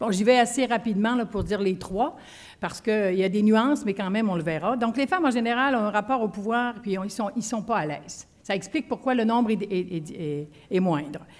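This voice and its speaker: This woman's fairly high voice moves along at a fairly quick clip. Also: ordinary pitch variation. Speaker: leadership trainer, former union executive. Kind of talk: conference talk. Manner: fast.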